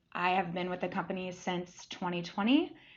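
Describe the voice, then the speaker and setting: A woman with an American accent, medium in pitch and fairly quick in pace. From US Midwest, Central Ohio. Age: 20s. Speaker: operations supervisor, graduate employee. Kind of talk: podcast interview.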